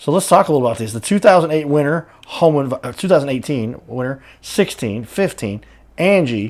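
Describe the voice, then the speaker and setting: Here is a man with an unremarkable speaking voice, fairly high in pitch. He moves at a moderate pace with lively intonation. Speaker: talk show host. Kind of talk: local business interview host.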